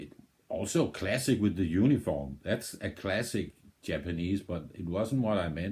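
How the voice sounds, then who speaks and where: A man with a Danish accent, a dark, mellow and somewhat breathy tone, lively intonation and a fairly slow pace. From Denmark. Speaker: music video reactor. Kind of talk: casual reaction commentary. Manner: halting, with many repetitions and fillers.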